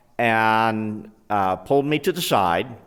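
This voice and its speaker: This man, with an American accent, has a medium pitch and speaks at a very slow pace. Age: 70s. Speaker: tornado eyewitness, former volunteer police support. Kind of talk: interview testimony.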